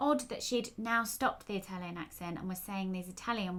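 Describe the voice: The clip is plain reading aloud, and the pitch varies in an ordinary way.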